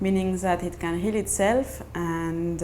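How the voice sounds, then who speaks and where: A woman in a French accent talks at a fairly slow pace, with audible room echo. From France. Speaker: mother sharing birth story. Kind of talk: personal testimony. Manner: halting, many fillers and restarts.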